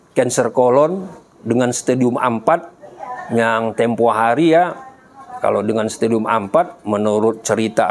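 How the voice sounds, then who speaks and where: Against noticeable background noise, a man speaks at a moderate pace with a medium pitch and ordinary pitch variation. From Medan, North Sumatra, Indonesia. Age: 60s. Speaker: cancer patient sharing experience. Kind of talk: testimony. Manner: halting, with frequent fillers.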